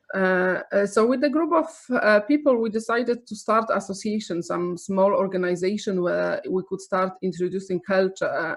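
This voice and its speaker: A woman's medium-pitched voice with a Polish accent. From Poland. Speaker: arts nonprofit director. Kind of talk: webinar presentation. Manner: halting, many fillers.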